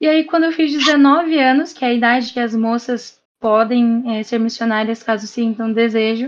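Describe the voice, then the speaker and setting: A woman with a high-pitched voice talks at a moderate speed. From Brazil, Bauru, São Paulo. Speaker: missionary. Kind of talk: casual chat and testimony.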